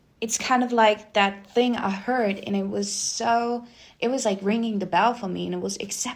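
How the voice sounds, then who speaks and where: Speaking fairly slowly, a woman keeps her intonation fairly even. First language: not English. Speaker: spiritual reader. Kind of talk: casual spiritual talk to viewers. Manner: hesitant, searching for words.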